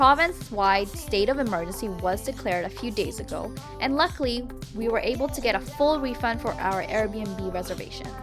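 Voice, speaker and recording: A fairly high-pitched woman with lively intonation at a fairly quick pace, music in the background. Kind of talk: travel vlog voiceover.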